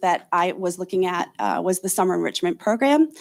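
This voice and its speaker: A woman is heard on a very clean recording with a silent background. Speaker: school district data analyst. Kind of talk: report to school board. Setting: school board meeting. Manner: halting, many fillers.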